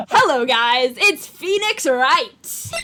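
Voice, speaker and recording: This put-on character voice sits high in pitch and swings very widely up and down. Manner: dopey, naive.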